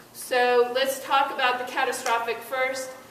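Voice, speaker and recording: Amid audible room echo and noticeable background noise, a woman with a high pitch speaks at a fairly slow pace in a monotone, flat intonation. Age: 60s. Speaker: insurance expert speaker at public forum. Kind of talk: informational presentation.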